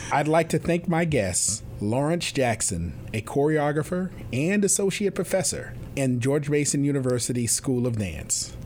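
The speaker has an American accent and an unremarkable speaking voice. The pace is moderate, with lively intonation and very even loudness. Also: man, fairly high pitch for a man. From US Northeast, New York City. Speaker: university president and podcast host. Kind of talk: interview conversation; scripted introduction.

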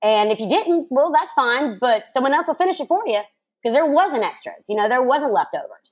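With an American accent, a woman talks at a fairly quick pace in a high voice. Her pitch swings very widely. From US South. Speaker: morning show host, podcast guest. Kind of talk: casual chat.

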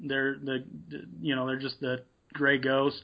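A man speaks at medium pitch and a moderate pace. He has an ordinary speaking voice. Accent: American. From Nevada, US. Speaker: apparel business owner and hunter. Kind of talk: interview.

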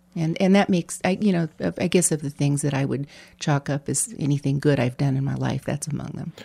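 In a very clean recording with a silent background and a dry, close sound with no echo, a woman speaks at a very deep, low pitch with a dark, mellow tone, vocal fry, and ordinary pitch variation. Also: fairly quick pace. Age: 60s. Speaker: former mayor. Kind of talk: casual chat.

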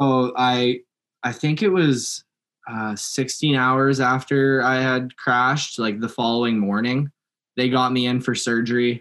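A man at medium pitch speaks fairly slowly with a western Canadian accent and fairly even intonation, on a very clean recording with a silent background. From Langley, British Columbia, Canada. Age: 20s. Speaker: mountain biker and electrician. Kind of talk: casual interview.

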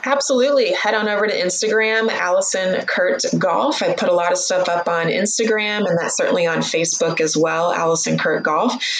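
A woman with a Midwestern American accent talks at a fairly quick pace with hardly any pauses. There is audible room echo and noticeable background noise. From US Midwest, Missouri. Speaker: golf coach and psychotherapist. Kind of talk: interview.

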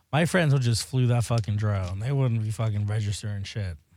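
On a very clean recording with a silent background, a man with an American accent speaks at a moderate pace and medium pitch, somewhat breathy, with ordinary pitch variation. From South Florida. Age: 20s. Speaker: beauty products maker and drag performer. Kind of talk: casual chat.

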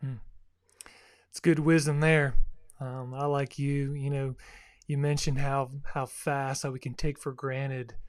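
Against a silent background in a very clean recording, a man speaks at a fairly high pitch in a flat monotone, with long, frequent pauses. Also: fairly slow pace. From South Florida. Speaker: podcast host and church minister. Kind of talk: interview hosting; scripted outro. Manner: halting, many fillers.

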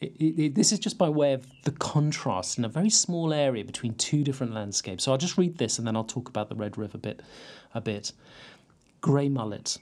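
The man speaks at a medium pitch with very wide swings up and down. His pace is fairly quick. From Cornwall, West Penwith (St Ives). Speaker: poet and creative writing lecturer. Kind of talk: casual interview chat. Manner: halting.

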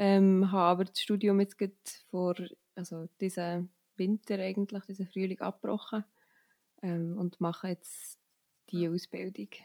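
A woman of medium pitch and dark, mellow tone speaks at a moderate pace in a monotone, flat intonation, with long, frequent pauses. The sound is dry and close with no echo. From Switzerland, Bernese Oberland (Steffisburg near Thun). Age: 20s. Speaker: student and trail runner. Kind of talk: interview.

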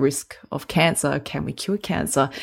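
There's an Australian accent in this woman's speech. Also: very clean recording, silent background. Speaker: health podcast co-host. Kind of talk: casual chat. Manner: fast.

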